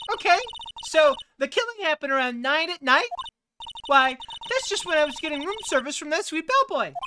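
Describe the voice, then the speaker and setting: Using a put-on character voice, a woman talks at a fairly quick pace and an extremely high pitch, with very wide pitch swings and long, frequent pauses. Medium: virtual streamer. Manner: coy, sugary.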